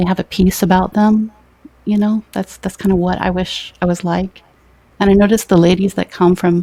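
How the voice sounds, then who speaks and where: In an American accent, a woman speaks at a moderate pace and medium pitch with monotone, flat intonation, a dark, mellow tone, and a dry, close sound with no echo. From US South. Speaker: YouTuber and mother. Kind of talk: casual chat. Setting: live stream interview. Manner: loud.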